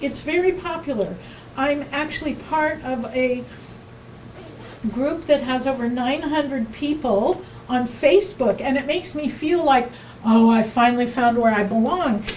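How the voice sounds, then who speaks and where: A woman speaks loudly and fairly slowly at a high pitch with ordinary pitch variation. Noticeable background noise and audible room echo are present. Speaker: workshop teacher. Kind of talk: presentation. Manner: loud, projected; halting.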